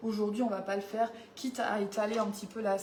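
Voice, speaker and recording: The speaker goes at a fairly quick pace. Noticeable background noise and audible room echo are present. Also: woman. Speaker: home baking demonstrator. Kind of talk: live cooking demo chat. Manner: casual, hesitant.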